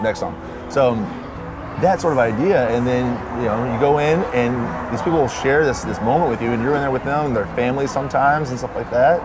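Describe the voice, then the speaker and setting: Over music in the background, a man with an American accent talks in a relaxed tone at a medium pitch and a fairly quick pace. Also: ordinary pitch variation. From South Carolina. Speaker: musician, singer-songwriter. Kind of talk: interview answer. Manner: casual, relaxed.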